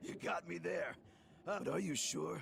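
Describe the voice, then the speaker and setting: A man uses a raspy, put-on character voice in a relaxed tone. He talks at a moderate pace over clear background noise. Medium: video game. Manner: chuckling, relaxed.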